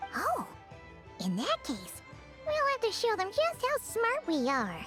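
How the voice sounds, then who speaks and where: This cartoonish character voice sits at an extremely high pitch and moves at a fairly slow pace. Clear music plays in the background. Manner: loud, excitable.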